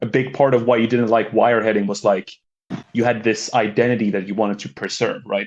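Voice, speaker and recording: A man at medium pitch with a slight Swedish accent, talking at a very fast pace in a monotone, flat intonation. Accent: slight Swedish accent, near-native English. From Sweden. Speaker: caller. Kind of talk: casual discussion. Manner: halting.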